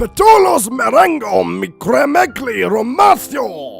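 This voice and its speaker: Over faint music in the background, a man does a put-on character voice at an extremely high pitch. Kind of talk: parody fanfic reading. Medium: read story.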